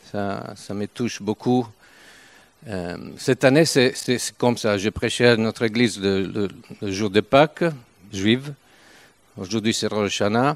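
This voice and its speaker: In a very clean recording with a silent background and a dry, close sound with no echo, a man with a fairly low pitch and an Italian accent speaks at a fairly slow pace with long, frequent pauses. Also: ordinary pitch variation. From northern Italy, Turin. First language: Italian (speaking French). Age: 70s. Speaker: visiting preacher. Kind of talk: sermon. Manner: halting.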